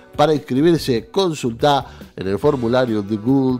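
A man's lively, bouncing intonation over faint background music. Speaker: radio news presenter. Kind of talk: radio news reading. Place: studio.

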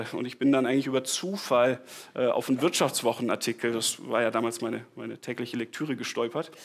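Speaking at a very fast pace, a man keeps his intonation fairly even. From Bavaria (Tegernsee), southern Germany; Bavaria. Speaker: startup founder. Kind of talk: conference talk. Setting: stage with audience. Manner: casual, with many fillers and repetitions. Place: hall.

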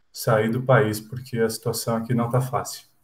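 A man speaks at a moderate pace and medium pitch, somewhat breathy. His intonation is monotone and flat. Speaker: volleyball player. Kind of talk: casual interview. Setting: video call. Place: home room. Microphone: earbuds.

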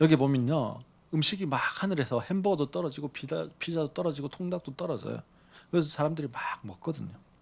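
A man at a very fast pace, fairly high pitch, lively intonation and vocal fry. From Busan, South Korea. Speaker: pastor. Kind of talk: sermon.

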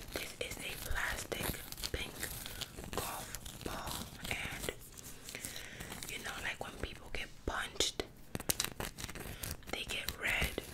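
Whispering and soft-spoken, a woman talks at a very slow pace with long, frequent pauses. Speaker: ASMR creator. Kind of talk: soft-spoken roleplay chat. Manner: soft close-mic ASMR whisper. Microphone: studio mic.

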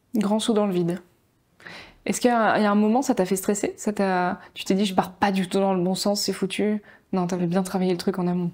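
A woman's moderately paced speech over a quiet background. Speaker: podcast host, marketing content creator; podcast host interviewer. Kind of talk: casual interview. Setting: studio with camera. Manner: animated, emotional. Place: home room. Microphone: lapel.

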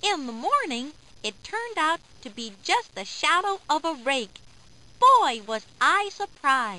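Using a put-on character voice, a woman speaks at a slow pace in a high pitch. Her tone is bright and sharp, with big pitch swings.

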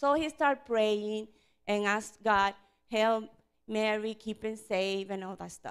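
Against a quiet background, the woman's delivery unfolds at a fairly slow pace. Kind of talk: storytelling to children. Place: church. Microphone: handheld.

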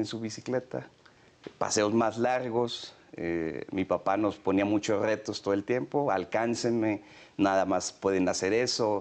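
This man speaks at a fairly slow pace. His pitch is fairly low, with ordinary pitch variation. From Mexico, San Luis Potosí. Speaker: federal police commissioner. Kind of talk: interview. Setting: office. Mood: warm, reminiscing, smiling. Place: office. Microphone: lapel.

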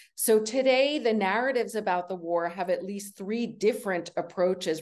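A woman talks at a moderate pace with ordinary pitch variation and a plain, everyday voice. The background is quiet. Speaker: professor and panel moderator. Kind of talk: moderated panel discussion. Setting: video call.

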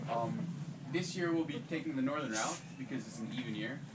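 Loud noise fills the background. Over it, a man speaks rather briskly. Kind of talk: informal talk to a group. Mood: relaxed, smiling. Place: home room. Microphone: camera far.

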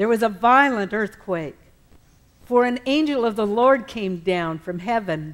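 A woman speaks at a very slow pace. Her pitch swings very widely. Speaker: scripture reader. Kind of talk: scripture reading in church service. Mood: solemn, measured. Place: church.

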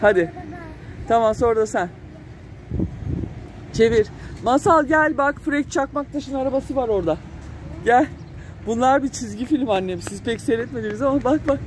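A woman speaks at a moderate pace in a fairly high voice with ordinary pitch variation. Faint background noise can be heard.

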